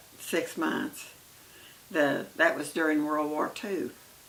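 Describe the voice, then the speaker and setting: A woman with an American accent speaks at a fairly slow pace. Background noise is noticeable. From Oklahoma. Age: 80s+. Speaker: grandmother telling her life story. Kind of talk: oral history interview. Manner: halting, many hesitations.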